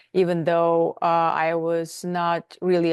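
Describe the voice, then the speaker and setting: A woman with a fairly low pitch is heard in a dry, close sound with no echo against a quiet background. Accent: non-native. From outside the US, non-English-speaking country. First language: not English. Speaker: nutritionist and wellness coach. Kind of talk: interview. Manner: halting, with fillers.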